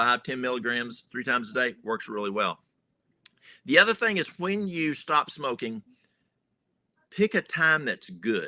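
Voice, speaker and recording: With a strong Southern US accent, the speech moves at a fairly slow pace with long, frequent pauses and very wide pitch swings, in a dry, close sound with no echo. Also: man, medium pitch for a man. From US South. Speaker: natural remedies health educator. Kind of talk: podcast interview. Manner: folksy, conversational.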